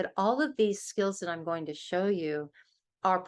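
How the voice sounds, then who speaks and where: Ordinary pitch variation runs through a woman's speech in a plain, everyday voice. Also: quiet background. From US West Coast, Los Angeles. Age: 60s. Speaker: author and interfaith organization leader. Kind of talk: workshop presentation.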